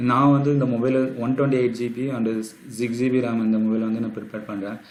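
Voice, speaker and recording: A soft-spoken man at a medium pitch, with monotone, flat intonation. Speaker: tech YouTuber. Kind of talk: phone review talk to camera.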